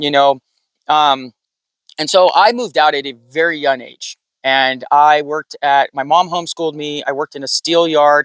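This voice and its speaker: A man with a Californian accent, fairly high pitch, fairly even intonation and big swings in loudness. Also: moderate pace. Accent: Californian American English. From US West Coast, San Diego. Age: 40s. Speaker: off-grid sticker business owner. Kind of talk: casual interview.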